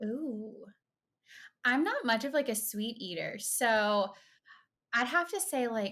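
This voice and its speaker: A woman speaks at a very slow pace with a Southern US accent, a fairly high pitch and lively intonation. Her tone is bright and sharp, with long, frequent pauses, on a very clean recording with a silent background. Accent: Southern US, says y'all. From US South, rural central Florida. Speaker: pediatric occupational therapist. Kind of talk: casual interview chat.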